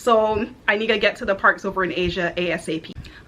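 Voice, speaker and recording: With a slight Barbadian accent, a woman speaks in an upbeat, bright, sharp tone. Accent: slight Barbadian (Bajan). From Houston, Texas, to Barbadian parents. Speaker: content creator, aspiring software engineer. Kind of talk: casual vlog introduction. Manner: chatty, upbeat.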